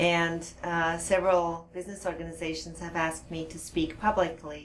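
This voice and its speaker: A woman with a fairly low pitch speaks at a moderate pace in a monotone, flat intonation. Her loudness swings widely, and background noise is noticeable. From Switzerland. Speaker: hypnotherapist. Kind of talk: interview. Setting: studio.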